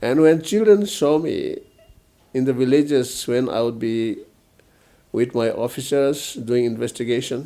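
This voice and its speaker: Speaking in a northeastern Indian accent, a man keeps a fairly slow pace. Long, frequent pauses break up his speech. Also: medium pitch for a man, ordinary pitch variation. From Northeast India, Mizoram. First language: Mizo. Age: old. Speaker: retired police officer and politician. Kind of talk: interview. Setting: at home. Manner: hesitant, with many fillers.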